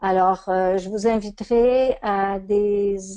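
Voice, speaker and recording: With a Quebec accent, a woman speaks at a medium pitch in a dark, mellow tone with fairly even intonation. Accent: Québécois French. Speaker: coach and trainer. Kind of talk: webinar lecture. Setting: online webinar.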